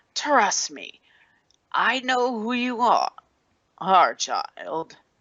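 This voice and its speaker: In a put-on character voice, a man speaks very slowly at an extremely high pitch, his pitch swinging very widely. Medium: read story. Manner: haughty, scornful.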